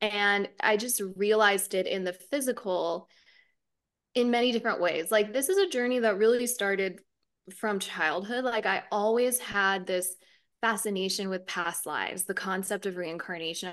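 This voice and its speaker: Over a quiet background, a woman talks at a moderate pace with medium pitch and fairly even intonation. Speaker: spiritual teacher. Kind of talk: casual interview. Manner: calm delivery.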